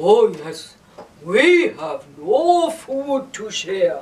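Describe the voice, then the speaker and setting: A man puts on a cartoonish character voice at an extremely high pitch. He speaks at a very slow pace. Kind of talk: children's puppet show.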